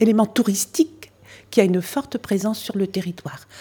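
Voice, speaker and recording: This woman's voice has a dark, mellow tone and sounds somewhat breathy. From French Flanders (Nord). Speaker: museum association president, former local councillor. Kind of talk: interview explanation.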